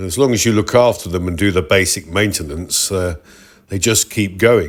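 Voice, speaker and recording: A relaxed tone and lively intonation in a British accent, on a very clean recording with a silent background. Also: man. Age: 60s. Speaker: retired motorcyclist, vlogger. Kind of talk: ride review narration. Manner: relaxed, conversational.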